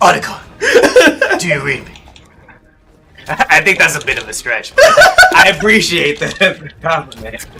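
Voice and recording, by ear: Using a raspy, put-on character voice, a man talks at a moderate pace with long, frequent pauses.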